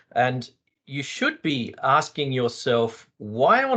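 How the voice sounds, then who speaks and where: The speaker has a strong Australian accent. The pitch varies in an ordinary way. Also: man. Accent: broad Australian. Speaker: psychologist and UX designer. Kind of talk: panel discussion.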